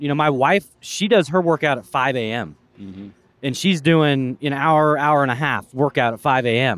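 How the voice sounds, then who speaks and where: An ordinary speaking voice from a man with an American accent, fairly high in pitch, with lively intonation at a moderate pace. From US West Coast, Portland. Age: 40s. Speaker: entrepreneur and content creator. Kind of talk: casual interview chat. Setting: outdoors at a venue.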